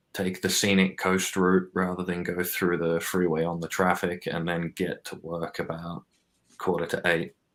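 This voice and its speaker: Very deep and low, this man's voice holds a monotone, flat intonation at a moderate pace. The recording is very clean, with a silent background. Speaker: podcast guest. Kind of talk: casual chat. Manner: quiet, subdued.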